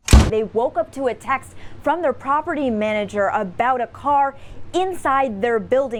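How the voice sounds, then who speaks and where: A woman talks at a high pitch against noticeable background noise. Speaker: TV news reporter and fill-in anchor. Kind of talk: broadcast news voiceover and live shot delivery. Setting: TV news field reporting.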